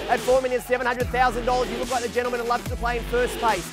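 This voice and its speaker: Clear music plays behind a man's voice. The sound is dry, with no echo. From Sydney, Australia. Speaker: real estate auctioneer. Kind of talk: auction call. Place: garden.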